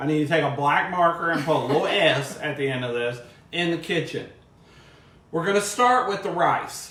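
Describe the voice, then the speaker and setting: Loud speech with lively intonation comes at a moderate pace. Audible room echo and noticeable background noise surround it. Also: man, high pitch for a man. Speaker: cooking show host, former cooking class teacher. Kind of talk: cooking tutorial. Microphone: no microphone worn, echo.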